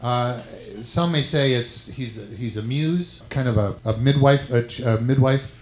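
A man with an unremarkable speaking voice, medium in pitch, at a fairly slow pace, with big swings in loudness. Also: ordinary pitch variation. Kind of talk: live comedy show banter.

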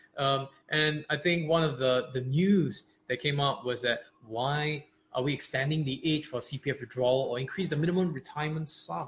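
Noticeable background noise surrounds a man talking at a moderate pace, his pitch varying in an ordinary way. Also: fairly high pitch for a man. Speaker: podcast co-host. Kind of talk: explainer podcast chat.

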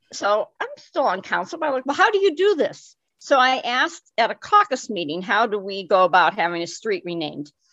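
A woman's fairly high, bright, sharp voice with very wide pitch swings and hardly any pauses. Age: 70s. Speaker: guest, activist. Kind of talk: conversational interview.

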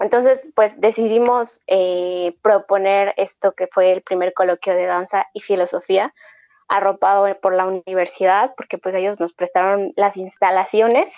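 A woman speaks in a plain, everyday voice at medium pitch. Her pace is fairly slow and her intonation fairly even. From Mexico. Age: 20s. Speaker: dance collective member. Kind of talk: casual interview.

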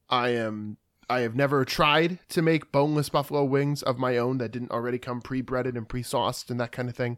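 The recording is very clean and the background silent. It's an ordinary speaking voice, fairly quick in pace and fairly even in intonation. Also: man, medium pitch for a man. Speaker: podcast host. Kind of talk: casual chat.

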